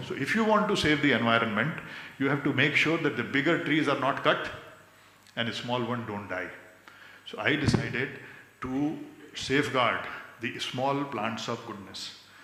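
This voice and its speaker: Audible room echo and noticeable background noise surround a man speaking at a medium pitch and moderate pace, with lively intonation and long, frequent pauses. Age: 60s. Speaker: convocation speaker, social activist. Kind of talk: convocation speech. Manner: mixes Hindi and English.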